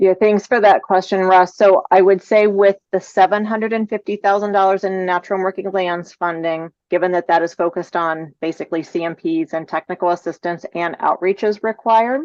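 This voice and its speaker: A woman's plain, everyday voice with hardly any pauses, dry and close with no echo, over a quiet background. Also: medium pitch for a woman, ordinary pitch variation, fairly quick pace. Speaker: agency staff presenter. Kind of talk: public meeting presentation. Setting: video call.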